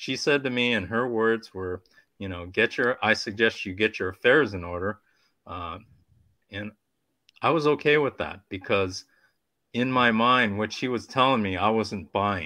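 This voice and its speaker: A man's fairly low-pitched voice with a bright, sharp tone, at a moderate pace with long, frequent pauses, against a quiet background. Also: ordinary pitch variation. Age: 60s. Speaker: cancer patient and YouTuber. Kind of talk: personal testimony in panel discussion. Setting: video call.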